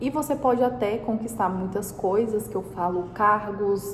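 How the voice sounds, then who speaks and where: Noticeable background noise and audible room echo surround a woman speaking at a medium pitch and a moderate pace. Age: 20s. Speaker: entrepreneur and vlogger. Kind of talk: personal advice talk to camera. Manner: casual.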